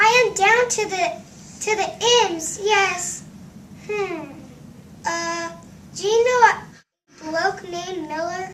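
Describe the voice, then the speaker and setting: Squeaky and extremely high-pitched, a woman's put-on character voice creeps along at a very slow pace with long, frequent pauses. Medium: stage play. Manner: confused, formal.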